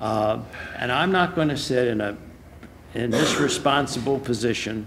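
Speaking at a moderate pace, a man with a medium pitch and fairly bright tone shows ordinary pitch variation.

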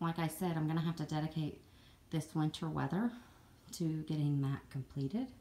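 With a Southern US accent, a woman speaks at a moderate pace in a fairly low, somewhat breathy voice of dark, mellow tone. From Southern United States. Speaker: jigsaw puzzle hobbyist. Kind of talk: casual talk to camera. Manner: rambling. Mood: friendly, slightly apologetic. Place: home room. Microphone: phone near.

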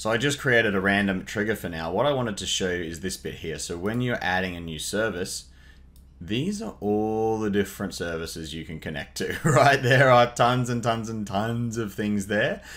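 A man speaks at a moderate pace in an ordinary speaking voice, his pitch fairly low with ordinary pitch variation. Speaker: tutorial host. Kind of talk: tutorial. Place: home room.

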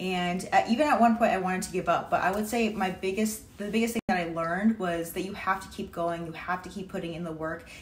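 With audible room echo, a woman talks at a fairly quick pace with ordinary pitch variation in an American accent. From Massachusetts, Cape Cod; Massachusetts. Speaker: online personal trainer. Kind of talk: testimonial. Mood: grateful, upbeat. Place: home room. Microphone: phone near.

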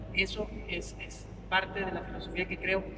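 Noticeable background noise lies under speech delivered at a fairly slow pace. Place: hall. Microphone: camera far.

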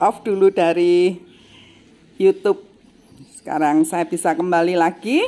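A woman speaks at a very slow pace. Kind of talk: casual vlog chat. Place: workshop. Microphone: phone near.

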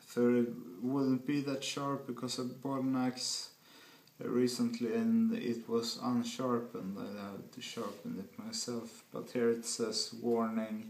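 The voice has a Swedish accent and a fairly slow pace. Its intonation is monotone and flat. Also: man, medium pitch for a man. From Sweden. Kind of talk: casual product review to camera. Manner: slow-paced.

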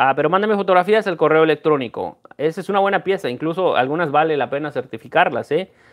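A man's fairly high, animated voice at a very fast pace with hardly any pauses, against a quiet background. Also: ordinary pitch variation. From Mexico, Guanajuato. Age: 30s. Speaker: coin dealer and YouTuber; YouTuber. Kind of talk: casual live stream chat. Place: home room. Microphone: earbuds.

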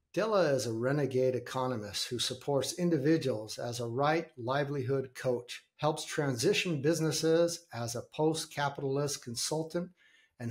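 Somewhat breathy, a man talks at a moderate pace with ordinary pitch variation. The background is quiet. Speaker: podcast host. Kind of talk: reading a guest introduction. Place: home room.

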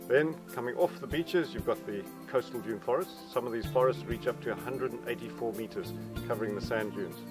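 Clear music plays behind a man speaking at a fairly quick pace. The sound is dry with no echo. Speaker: park guide. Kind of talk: guided tour talk.

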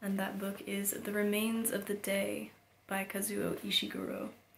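A woman talks over noticeable background noise, with audible room echo. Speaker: book reviewer. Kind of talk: casual book review. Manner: hesitant, frequent ums.

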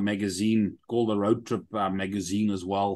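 Against a quiet background, a man with a South African accent speaks in an animated tone. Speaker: army veteran and app entrepreneur; interview guest. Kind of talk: interview. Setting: video call. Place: home room. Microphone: video call.

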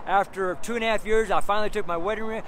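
Light background noise sits behind a man speaking at a high pitch, the sound dry with no echo. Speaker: street preacher. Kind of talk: sermon delivered casually to camera, personal testimony. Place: street. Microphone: phone near.

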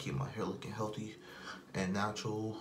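Over light background noise, a man talks at a moderate pace with a fairly low pitch. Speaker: vlogger. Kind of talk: casual vlog chat. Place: bathroom. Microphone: phone near.

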